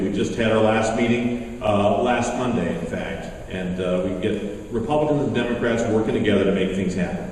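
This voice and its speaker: Someone speaks at a fairly quick pace with audible room echo and noticeable background noise. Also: man. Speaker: politician, candidate for governor. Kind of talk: campaign speech at a forum. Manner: loud; halting, with fillers.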